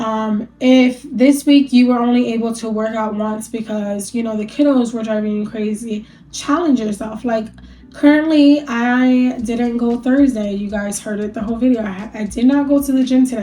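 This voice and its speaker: A woman talks at a moderate pace while noticeable background noise fills the clip. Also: fairly high pitch for a woman, fairly even intonation. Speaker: lifestyle vlogger. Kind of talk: casual sit-down talk to camera. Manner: casual, filler-heavy, with some stumbling.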